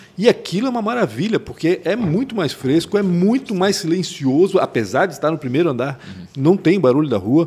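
His voice is fairly high and swings very widely in pitch. The man speaks at a fairly quick pace. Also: hardly any pauses. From Chile. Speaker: journalist and podcast co-host. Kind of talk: interview.

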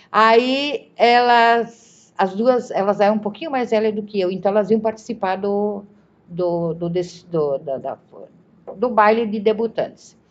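A woman talks at a fairly slow pace, her pitch fairly high with ordinary variation. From southern Brazil, Galópolis (Caxias do Sul). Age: 60s. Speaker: retired teacher. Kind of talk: interview reminiscence. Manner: halting, many repetitions.

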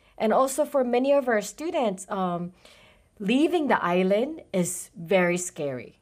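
A woman with a Japanese accent speaks fairly slowly at a fairly high pitch with very wide pitch swings, in a very clean recording with a silent background. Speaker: college international program coordinator. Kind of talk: interview.

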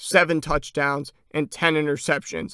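A man speaks at a moderate pace in a fairly high voice with flat, monotone intonation, recorded dry and close with no echo. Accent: American. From Chicago, US Midwest. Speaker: sports podcast host. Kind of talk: solo sports commentary podcast.

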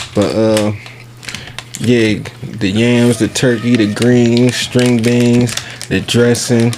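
Against noticeable background noise, a man with a medium pitch speaks at a very slow pace with long, frequent pauses, monotone, flat intonation, and very even loudness. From US North. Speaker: podcast host. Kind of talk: casual chat.

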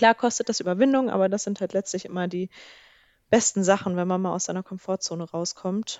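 Fairly quick and fairly even in intonation, a woman's normal speaking voice sits at a medium pitch. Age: 20s. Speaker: podcast co-host. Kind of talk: casual chat. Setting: long-distance call.

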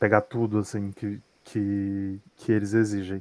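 A man speaks in a monotone, flat way at a fairly low pitch. The sound is dry and close, with no echo. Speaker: graduate student abroad. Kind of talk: interview testimony. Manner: halting.

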